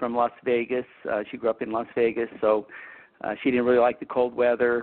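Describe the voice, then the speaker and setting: A man with an American accent, medium in pitch, fairly quick, in a monotone, flat delivery. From Utah. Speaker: optometrist. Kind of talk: educational interview.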